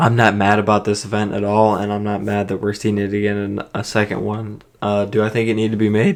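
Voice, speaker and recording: A quiet man speaks at a fairly quick pace and fairly low pitch, his intonation monotone and flat. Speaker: MMA fight predictor. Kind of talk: casual talk to camera.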